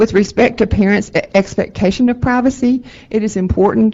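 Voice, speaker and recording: A woman is speaking. She has a Texan accent. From Texas. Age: 70s. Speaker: advocacy group representative giving public testimony. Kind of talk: public testimony at a board meeting. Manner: halting, many fillers and repetitions.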